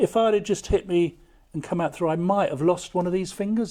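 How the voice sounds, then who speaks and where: A man with a high pitch and ordinary pitch variation speaks at a very fast pace in a dark, mellow tone. The recording is very clean, with a silent background. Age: 60s. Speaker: army veteran and war artist. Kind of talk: casual chat. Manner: halting.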